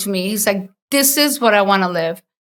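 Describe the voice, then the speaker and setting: Speaking at a moderate pace with a strong Costa Rican accent, a woman uses a fairly high pitch, a bright, sharp tone and ordinary pitch variation in a very clean recording with a silent background. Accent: heavy Costa Rican Spanish. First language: Spanish. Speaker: entrepreneur and designer. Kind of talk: interview conversation.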